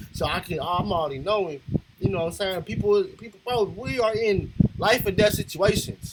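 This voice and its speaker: Noticeable background noise sits under a man speaking with an American accent. His pitch is high and his pace moderate. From Los Angeles, California. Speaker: reaction video creator. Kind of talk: reaction commentary. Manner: animated.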